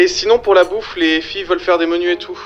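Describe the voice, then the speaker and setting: A man with a high pitch talks while music plays in the background. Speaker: amateur voice actor. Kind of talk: casual talk.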